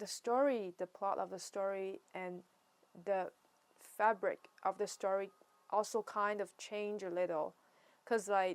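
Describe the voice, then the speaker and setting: A woman with a Chinese accent at a medium pitch, fairly even intonation, a fairly slow pace with long, frequent pauses, and a dry, close sound with no echo on a very clean recording against a silent background. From China. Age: 20s. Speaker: writer and vlogger. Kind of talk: casual monologue vlog. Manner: halting, many fillers and restarts.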